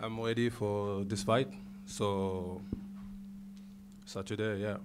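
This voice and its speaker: Very slowly and in a monotone, flat intonation, a man with a French accent speaks at a fairly low pitch amid audible room echo. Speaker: MMA fighter. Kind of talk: press conference. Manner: halting.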